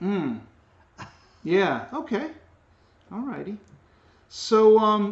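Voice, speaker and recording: Speech comes at a very slow pace with long, frequent pauses, and background noise is noticeable. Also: man, high pitch for a man. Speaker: sociology teacher. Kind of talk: interview questions.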